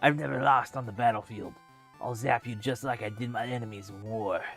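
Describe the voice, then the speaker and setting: Clear music plays behind a man doing a strained, put-on character voice at a medium pitch and a fairly quick pace. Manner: boastful, gruff.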